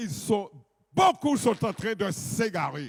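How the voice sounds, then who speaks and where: This is a loud male voice. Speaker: pastor. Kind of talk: sermon. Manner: authoritative.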